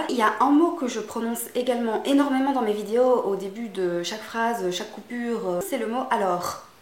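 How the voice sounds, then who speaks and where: Over noticeable background noise, a woman with a Belgian accent talks with hardly any pauses in a fairly high voice with lively intonation. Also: moderate pace. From Belgium.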